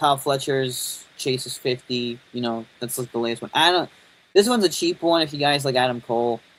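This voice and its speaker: Pitch variation from this man is ordinary. He keeps up a fairly quick pace. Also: medium pitch for a man. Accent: New York. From New York. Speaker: toy and wrestling YouTuber. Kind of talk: live stream commentary. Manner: casual, rambling; mumbling at times.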